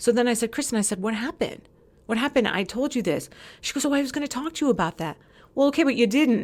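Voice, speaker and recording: A woman's high-pitched, animated voice with lively intonation at a very fast pace, on a very clean recording with a silent background. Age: 40s. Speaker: former community social committee member. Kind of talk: casual chat.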